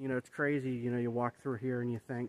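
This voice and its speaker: A man speaks at a fairly quick pace, the sound dry with no echo. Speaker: vlogger. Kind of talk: casual vlog chat. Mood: reflective, thoughtful. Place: forest. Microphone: phone near.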